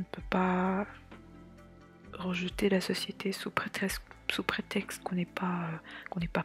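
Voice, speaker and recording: Someone whispers quietly at a fairly slow pace, with music playing in the background. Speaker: artist / illustrator vlogger. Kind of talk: casual talk to camera. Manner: whispered, quiet, relaxed.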